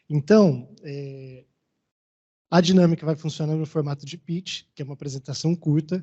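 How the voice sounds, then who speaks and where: With a Maranhão accent, a man speaks at a fairly quick pace in a fairly high, somewhat breathy voice with fairly even intonation. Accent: Maranhão Brazilian Portuguese. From Maranhão, Brazil. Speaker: event moderator. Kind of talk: event moderation.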